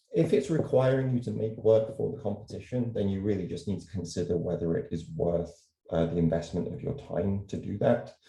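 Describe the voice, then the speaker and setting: A man's somewhat breathy voice, dark and mellow in tone, at a fairly low pitch. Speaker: illustrator and art professor. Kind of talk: virtual presentation. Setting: video call. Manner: fast.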